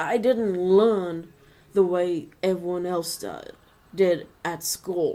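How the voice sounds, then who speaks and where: At a very slow pace, a woman with a dark, mellow tone and fairly low pitch keeps fairly even intonation while her loudness swings widely. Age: 40s. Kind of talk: personal vlog monologue. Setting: webcam recording at home.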